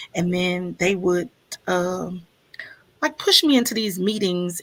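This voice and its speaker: A woman speaks with a Southern accent. Her pitch varies in an ordinary way. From US South (Mississippi), born in Chicago. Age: 50s. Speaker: stream host. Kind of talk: casual chat. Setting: livestream.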